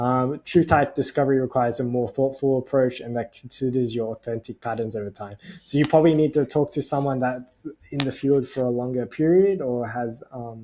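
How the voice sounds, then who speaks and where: At a fairly quick pace, a man with an Australian accent talks in a dark, mellow tone. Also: medium pitch for a man, ordinary pitch variation. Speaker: personality type educator. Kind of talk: tutorial. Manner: hesitant, many fillers.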